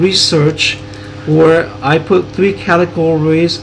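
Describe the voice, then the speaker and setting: Noticeable background noise sits behind a man speaking in a fairly high voice. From US Pacific Northwest (Washington state), born in Taiwan. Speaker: graduate student presenter. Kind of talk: academic presentation.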